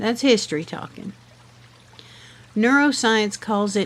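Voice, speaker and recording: A woman speaks at a fairly high pitch with a Southern US accent. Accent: Southern American. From Southern United States. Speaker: podcast host. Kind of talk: reflective podcast monologue. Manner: slow, gentle.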